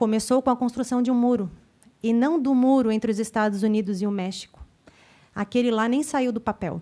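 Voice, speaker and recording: A woman's fairly high-pitched voice with a dark, mellow tone, a fairly quick pace and ordinary pitch variation. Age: 30s. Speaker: council representative. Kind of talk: public hearing speech, partly read aloud. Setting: legislative assembly public hearing.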